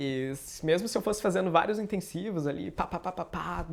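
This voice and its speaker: High pitch from a man, on a very clean recording with a silent background. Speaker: YouTuber. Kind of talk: personal storytelling vlog. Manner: casual, conversational.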